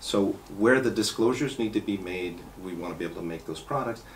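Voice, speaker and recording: A man talks at a fairly low pitch. Light noise sits in the background. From New York. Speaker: car care company owner. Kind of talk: interview. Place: meeting room.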